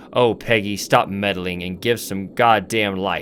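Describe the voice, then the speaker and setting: In a put-on character voice, a man with fairly low pitch speaks at a fairly slow pace in a monotone, flat intonation over clear background noise. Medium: solo performance. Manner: brusque, yelling.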